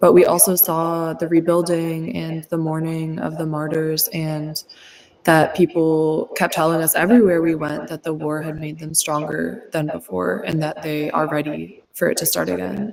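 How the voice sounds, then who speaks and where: In an American accent, a woman talks with a very deep, low voice and fairly even intonation. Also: moderate pace. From United States. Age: 20s. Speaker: activist and freelance journalist. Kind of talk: interview.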